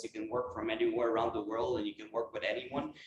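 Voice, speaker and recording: A man speaks in a Quebec accent. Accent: French Canadian accent in English. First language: French. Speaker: space industry entrepreneur. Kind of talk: lecture. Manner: halting.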